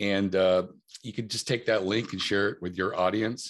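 A plain, everyday voice: a man with a fairly low pitch, fairly even intonation, and a fairly quick pace against a quiet background. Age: middle-aged. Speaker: press release company founder. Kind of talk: interview.

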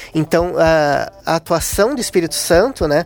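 High in pitch, a man speaks with ordinary pitch variation. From Southern Brazil (Rio Grande do Sul). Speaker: invited guest discussing the Bible. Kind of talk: religious discussion. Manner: halting, repeats small words.

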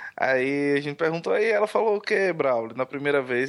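Speaking in a northeastern Brazilian accent, a man talks at a moderate pace. His intonation is lively. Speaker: podcaster. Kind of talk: casual chat.

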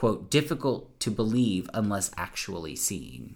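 An American-accented man speaks at a fairly low pitch with vocal fry. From US South. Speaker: podcast host. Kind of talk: casual chat; reading aloud.

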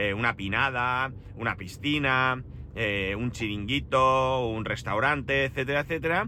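Ordinary pitch variation runs through this man's medium-pitched voice. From Spain, Alicante. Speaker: podcaster. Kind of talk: casual solo monologue. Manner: hesitant, many fillers.

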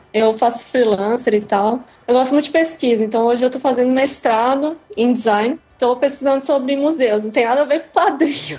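Her pitch sits high for a woman, with ordinary variation and a moderate pace. Noticeable background noise is present. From Santa Catarina, Brazil (Criciúma). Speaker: comics blogger and design student. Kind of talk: casual interview.

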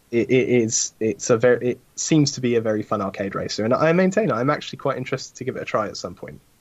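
A man with a British accent talks very fast at a medium pitch. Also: lively intonation, hardly any pauses. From UK. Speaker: sim racing commentator. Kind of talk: casual chat.

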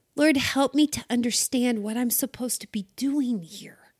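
A woman with a warm tone and high pitch speaks at a fairly slow pace, dry and close with no echo, on a very clean recording with a silent background. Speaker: devotional podcast host. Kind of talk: guided devotional prayer, reflective second-person encouragement. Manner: warm, gently rousing, rhetorical questions building uplift; enthusiastic and exclamatory, cheerful whoops.

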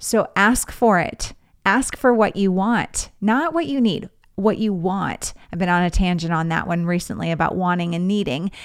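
A woman with an American accent and a plain, everyday voice, medium pitch, moderate pace and ordinary pitch variation, on a very clean recording with a silent background. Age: 40s. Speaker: podcast host and fundraising coach. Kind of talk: solo podcast monologue.

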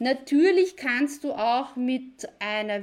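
Very slow speech from a woman with a Viennese accent, lively intonation, a very clean recording and a silent background. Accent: Viennese Austrian German. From Austria, near Vienna. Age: 40s. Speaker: online business video coach. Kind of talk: live video tutorial. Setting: live video stream from computer.

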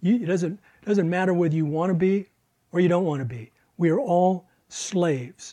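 On a very clean recording with a silent background, a man with a high pitch and a dark, mellow tone speaks at a fairly slow pace. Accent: American. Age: 70s. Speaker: Bible teacher. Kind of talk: lecture.

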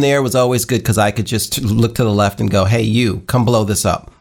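A man with an American accent speaks at a moderate pace and medium pitch. The recording is very clean, with a silent background. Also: very even loudness. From New York. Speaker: pinball streamer. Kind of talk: casual chat.

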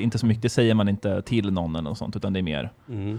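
A man talks at a very fast pace in a fairly low pitch with a dark, mellow tone. The recording is very clean, with a silent background. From Sweden. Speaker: podcast guest, half-German. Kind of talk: casual chat.

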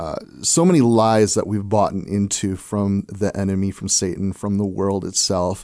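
A man speaks with an American accent. His fairly low voice holds a fairly even intonation. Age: 40s. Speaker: pastor. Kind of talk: radio interview, pastoral exhortation. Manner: passionate, exhortative.

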